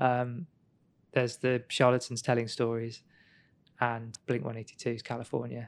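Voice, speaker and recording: A man speaks at a moderate pace with a medium pitch. His intonation is flat and monotone, broken by long, frequent pauses. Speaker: podcast co-host. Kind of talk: casual chat. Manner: joking, playful.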